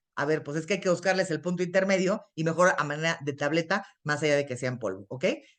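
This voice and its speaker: This woman talks at a very fast pace with a fairly low pitch. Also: ordinary pitch variation, hardly any pauses. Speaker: internist and nutrition expert. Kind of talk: lecture.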